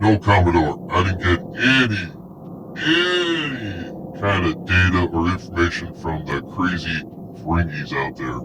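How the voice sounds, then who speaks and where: A man puts on a character voice with a very deep, low pitch. He talks at a fairly slow pace over clear background noise. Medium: audio drama. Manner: haughty, slightly broken English.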